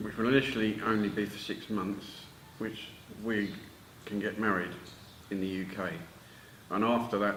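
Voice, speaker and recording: A man with a British accent speaks at a moderate pace in a fairly low pitch. His intonation is flat and monotone, broken by long, frequent pauses. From United Kingdom. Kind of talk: casual talk to camera.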